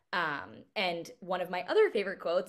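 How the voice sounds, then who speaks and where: The background is quiet as a woman speaks at a moderate pace. Her pitch is medium. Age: 20s. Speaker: podcast host. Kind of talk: casual solo talk. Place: home room. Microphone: webcam.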